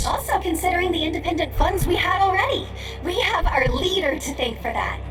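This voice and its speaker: A put-on character voice at an extremely high pitch and a fairly quick pace, over loud background noise. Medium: audio drama. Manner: formal, measured.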